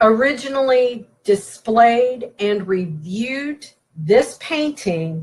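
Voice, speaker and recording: A woman with a Southern US accent speaks at a very slow pace. Her fairly high pitch carries lively intonation. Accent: Southern twang. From West Virginia. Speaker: paranormal presenter. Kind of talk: lecture. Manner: hesitant with frequent fillers.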